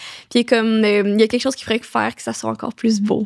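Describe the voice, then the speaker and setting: In a very clean recording with a silent background, a woman speaks in a fairly high voice with fairly even intonation and a dry, close sound with no echo. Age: 20s. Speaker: young entrepreneur. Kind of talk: casual interview chat. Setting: podcast recording. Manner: fast.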